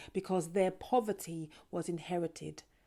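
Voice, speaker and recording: A woman with a London accent speaks in a dark, mellow tone and a monotone, flat intonation. The recording is very clean, with a silent background. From North London. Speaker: performance poet. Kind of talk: poetry performance. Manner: rhythmic.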